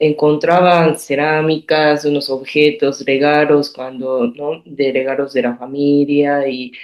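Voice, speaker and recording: Very slow speech in a monotone, flat intonation. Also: woman, very deep, low pitch for a woman, hardly any pauses. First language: Japanese (speaking Spanish). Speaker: artist. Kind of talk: interview. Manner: halting.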